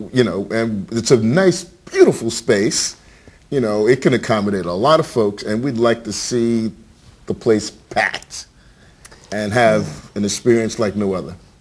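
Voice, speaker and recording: Using an unremarkable speaking voice, a man with an American accent speaks at a fairly slow pace and medium pitch with lively intonation. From Virginia, US. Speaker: storyteller and performing arts educator. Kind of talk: interview.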